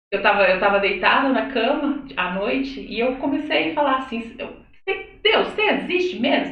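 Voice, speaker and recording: A woman's high, animated voice at a moderate pace, with very wide pitch swings and audible room echo. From Minas Gerais, Brazil (Belo Horizonte). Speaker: church singer. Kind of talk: testimony. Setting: live video podcast.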